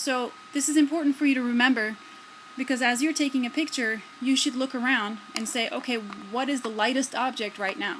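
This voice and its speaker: With noticeable background noise, a woman talks at a fairly quick pace in a high voice with ordinary pitch variation. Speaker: photography teacher. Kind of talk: tutorial. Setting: indoors by a window, self-filmed video. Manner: halting, filler-heavy.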